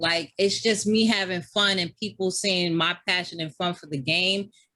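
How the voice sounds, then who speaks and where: A woman with a New York accent, a bright, sharp tone, an animated tone, and a moderate pace. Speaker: gamer and streamer. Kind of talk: casual chat. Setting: podcast.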